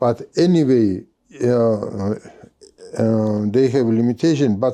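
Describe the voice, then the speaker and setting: Speaking in a Georgian accent, a man has a medium pitch and a dark, mellow tone. He talks at a very slow pace with ordinary pitch variation. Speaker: podcast host and business owner. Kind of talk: interview conversation. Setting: library. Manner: halting, many fillers.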